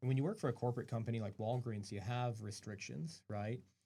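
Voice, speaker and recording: A man speaks at medium pitch with a dark, mellow tone. His voice is somewhat breathy. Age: 40s. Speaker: pharmacist and pharmacy owner. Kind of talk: radio interview.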